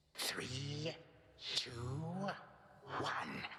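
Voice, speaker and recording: A man puts on a character voice. He growls as he speaks. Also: fairly high pitch for a man. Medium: video game. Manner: grandiloquent, archaic phrasing.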